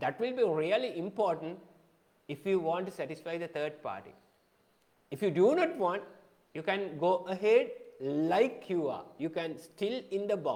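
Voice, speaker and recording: A man with a Sri Lankan accent speaks in a high pitch at a moderate pace with lively intonation. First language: Sinhala. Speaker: photography teacher. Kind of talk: live-streamed lecture. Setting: live Facebook video.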